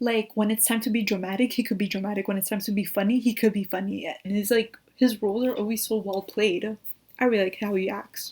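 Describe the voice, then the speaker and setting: A somewhat breathy woman's voice, fairly high in pitch, at a very fast pace. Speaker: YouTuber. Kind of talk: casual vlog recommendations. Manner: animated.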